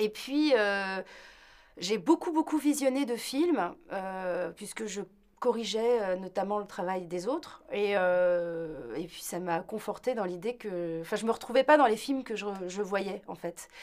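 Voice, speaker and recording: Speaking very slowly, a woman uses a medium pitch and lively intonation. Her loudness swings widely. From London and Paris, France. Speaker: film director. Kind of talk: interview. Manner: hesitant, many fillers.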